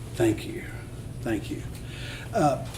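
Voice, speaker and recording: Noticeable background noise and audible room echo around a male speaker's voice. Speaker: mayor chairing council meeting. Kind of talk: meeting chairing. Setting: city council meeting. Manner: soft-spoken.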